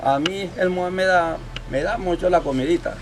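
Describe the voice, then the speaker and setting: With noticeable background noise, a man speaks at a high pitch with lively intonation. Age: 70s. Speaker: fisherman and local elder. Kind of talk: interview, storytelling. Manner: halting, many repetitions.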